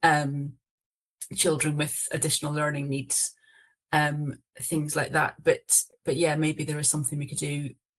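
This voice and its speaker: Someone speaks at a moderate pace in a Scottish accent. Long pauses come often. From Scotland. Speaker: council officer. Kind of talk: online panel discussion. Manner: hesitant, many fillers and self-corrections.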